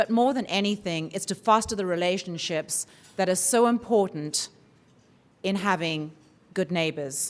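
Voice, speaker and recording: With a southern African accent, a woman speaks at a medium pitch with ordinary pitch variation and long, frequent pauses. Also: moderate pace. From southern Africa (Zimbabwe, Swaziland). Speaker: forum organizer introducing a speaker. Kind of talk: welcome speech.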